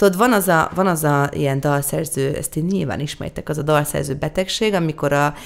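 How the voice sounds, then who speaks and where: Behind the speech there is music in the background. The speaker is a woman. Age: 30s. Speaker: singer-songwriter. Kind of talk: interview.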